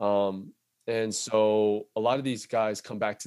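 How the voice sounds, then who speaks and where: In a very clean recording with a silent background, a man with a Californian accent speaks at a fairly low pitch in a monotone, flat intonation. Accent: Californian American English. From Southern California (Fullerton). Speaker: tech sales account executive. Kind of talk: casual interview chat.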